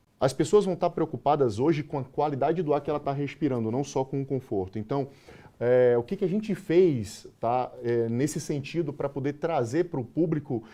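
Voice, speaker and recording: A man with a Bahian accent speaks in a dark, mellow tone, his pitch fairly high and his pitch variation ordinary. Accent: Bahian Brazilian Portuguese. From Bahia, Brazil. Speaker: sales manager. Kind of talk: interview.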